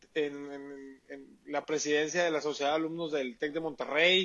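Fairly high-pitched male voice. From Mexico, Sonora (Hermosillo). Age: 30s. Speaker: entrepreneur. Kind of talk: interview. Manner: halting, many repetitions and fillers.

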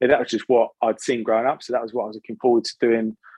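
Recorded dry and close with no echo, a man with an English accent speaks at a medium pitch. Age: 30s. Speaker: sobriety influencer. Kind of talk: casual chat. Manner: energetic.

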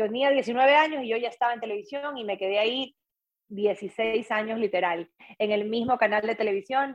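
A woman's unremarkable speaking voice, fairly high in pitch, with ordinary pitch variation at a moderate pace. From coastal Ecuador, Guayaquil. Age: 40s. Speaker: former TV presenter, triathlete. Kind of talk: casual interview.

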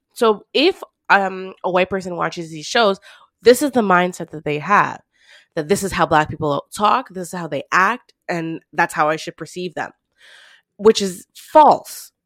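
In a dry, close recording with no echo and a very clean, silent background, a woman with an unremarkable speaking voice and medium pitch speaks at a fairly slow pace with lively intonation. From Canada. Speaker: podcast co-host. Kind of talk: casual discussion.

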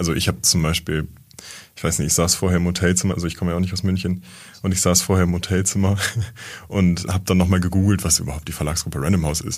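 In a very clean recording with a silent background, a man speaks at a very fast pace. His pitch is very deep and low, with fairly even intonation. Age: 20s. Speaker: trainee in publishing. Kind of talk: casual interview.

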